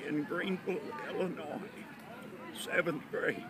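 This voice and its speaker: A man's high-pitched voice is heard amid audible room echo and noticeable background noise. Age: 70s. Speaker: WWII navy veteran and pastor. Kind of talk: oral history interview.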